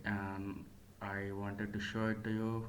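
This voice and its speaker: Amid audible room echo, a man with a non-native accent speaks at a fairly low pitch in a monotone, flat way. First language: not English. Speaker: MMA commentator / YouTuber. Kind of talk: solo commentary video. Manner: hesitant, with fillers and self-corrections.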